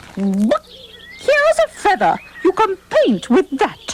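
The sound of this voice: An extremely high pitch marks this cartoonish character voice. The pace is fairly slow.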